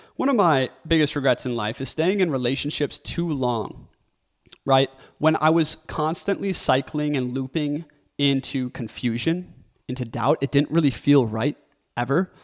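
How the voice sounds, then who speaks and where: A shaky voice at a moderate pace with ordinary pitch variation, recorded with a dry, close sound and no echo. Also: man, fairly high pitch for a man. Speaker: content creator and author. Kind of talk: motivational talk to camera. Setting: recording video alone.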